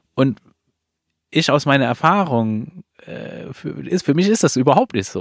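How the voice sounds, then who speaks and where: A man with a non-native accent at a fairly slow pace, with a fairly high pitch, lively intonation, long, frequent pauses and a dry, close sound with no echo. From outside Germany. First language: not German (speaking German). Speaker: podcast host. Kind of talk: casual interview conversation. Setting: recorded in a trailer at an event venue.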